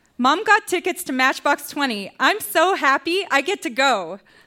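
Raised, projected voice in a Canadian accent, bright and sharp in tone, with very wide pitch swings. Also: woman. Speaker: reader at live storytelling show. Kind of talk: reading aloud. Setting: stage with audience.

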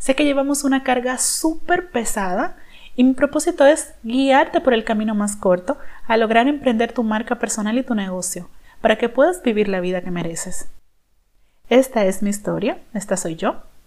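A woman speaks in an ordinary speaking voice at a fairly high pitch. Her intonation is lively, and her pace is moderate. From Dominican Republic. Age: 30s. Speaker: personal branding consultant, podcast host. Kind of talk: podcast monologue, personal story.

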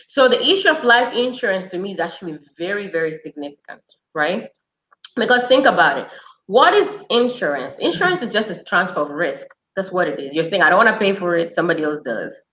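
A woman's medium-pitched, bright and sharp voice with very wide pitch swings at a fairly quick pace. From Tanzania. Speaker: nurse practitioner and financial educator. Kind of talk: casual interview.

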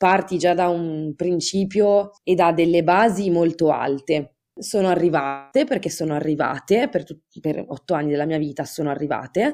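This woman's fairly low voice has a dark, mellow tone, ordinary pitch variation and a moderate pace. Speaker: podcast author guest. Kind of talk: casual chat.

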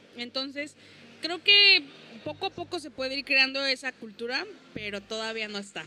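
A woman's high-pitched voice carries lively intonation and big swings in loudness. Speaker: stand-up comedian. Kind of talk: casual chat.

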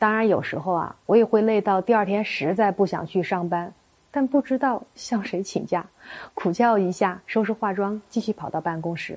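A woman's unremarkable speaking voice sits at medium pitch with ordinary pitch variation. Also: moderate pace. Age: 40s. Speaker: marriage counselor. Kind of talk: scripted narration.

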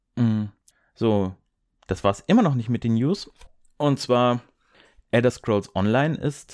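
The speech comes at a very slow pace with ordinary pitch variation, in a very clean recording with a silent background and a dry, close sound with no echo. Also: man. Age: 20s. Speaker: solo gaming podcast host. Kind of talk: solo podcast monologue. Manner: casual with frequent filler sounds.

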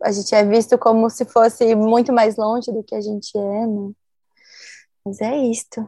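Over a quiet background, a woman speaks in a fairly high pitch with a dark, mellow tone, monotone, flat intonation and long, frequent pauses. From southern Brazil, Santa Maria, Rio Grande do Sul. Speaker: DJ. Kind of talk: interview.

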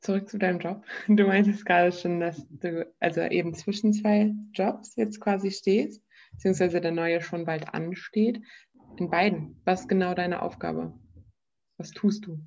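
At a moderate pace, a woman with a normal speaking voice talks at a medium pitch and with fairly even intonation. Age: 20s. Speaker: podcast host. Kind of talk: casual interview.

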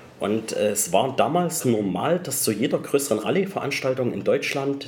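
Over noticeable background noise, a man talks at a moderate pace with lively intonation and a medium pitch. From Saxony, Germany (between Chemnitz and Zwickau). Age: 30s. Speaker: Italian car enthusiast. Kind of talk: casual interview.

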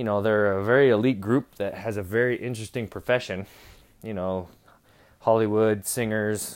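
A man with an American accent at a fairly quick pace, flat and monotone, on a very clean recording with a silent background. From Utah, US. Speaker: podcast host. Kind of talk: casual monologue. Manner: laughing often.

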